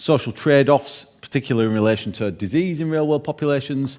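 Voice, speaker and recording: A man talks with a Yorkshire accent. His pace is very fast. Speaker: keynote speaker, researcher. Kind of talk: lecture. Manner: casual, with frequent fillers.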